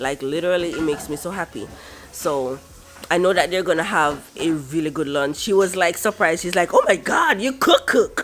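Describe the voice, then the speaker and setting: Noticeable background noise runs under a woman talking at a fairly quick pace. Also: fairly low pitch for a woman, ordinary pitch variation. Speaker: vlogger. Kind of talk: casual vlog. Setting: at home.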